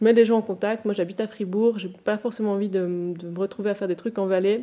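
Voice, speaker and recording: A woman talks at a fairly quick pace in a medium pitch with fairly even intonation. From Switzerland, Valais. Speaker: feminist activist. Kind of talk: podcast interview. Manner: halting.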